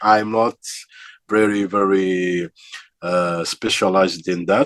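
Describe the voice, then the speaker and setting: With a dry, close sound and no echo, a man speaks very slowly in a very deep, low, flat monotone. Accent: slight African. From Algeria. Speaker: metal vocalist and vocal teacher. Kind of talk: interview. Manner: halting, many fillers.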